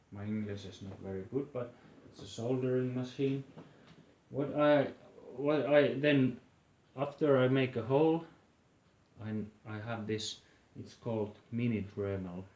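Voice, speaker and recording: A man with a Finnish accent, ordinary pitch variation, a fairly slow pace and long, frequent pauses. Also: medium pitch for a man. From Finland. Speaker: flute maker. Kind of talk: tutorial. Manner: halting.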